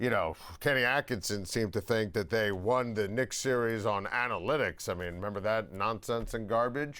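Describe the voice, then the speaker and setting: Very clean and set against a silent background, this is an ordinary speaking voice: a man with an American accent at medium pitch and a moderate pace. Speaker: sports talk show host. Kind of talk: loud opinionated sports talk rant. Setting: studio.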